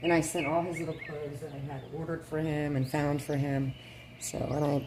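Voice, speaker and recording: The speaker moves along at a fairly quick pace. Noticeable background noise runs under the voice. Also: woman. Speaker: reborn doll collector vlogger. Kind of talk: casual chat. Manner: rambling, hesitant.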